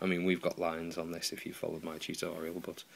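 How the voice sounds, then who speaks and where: Fairly quick and flat in a monotone, a man with a British accent speaks in a very deep, low voice. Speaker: guitar repair tutor. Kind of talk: tutorial. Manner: casual, hesitant with many ums.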